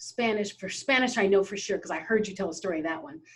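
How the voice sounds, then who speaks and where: With an American accent, a woman speaks at a fairly high pitch. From Philippines, grew up in US. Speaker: podcast host. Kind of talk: interview conversation.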